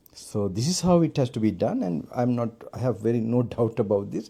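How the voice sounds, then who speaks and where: A man speaks in a Sri Lankan accent with very wide pitch swings and a dark, mellow tone. The recording is very clean, with a silent background. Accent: non-American, Sri Lankan English. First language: Sinhala. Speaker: Buddhist monk and meditation teacher. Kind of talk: dharma talk at meditation retreat. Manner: halting, with many fillers.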